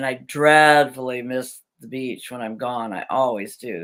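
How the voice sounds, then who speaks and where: Speaking at a moderate pace with an American accent, a woman has a very deep, low pitch and ordinary pitch variation, recorded very cleanly against a silent background. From Southern California. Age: 70s. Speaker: vlogger. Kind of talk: live chat. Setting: live video chat. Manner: casual, chatty.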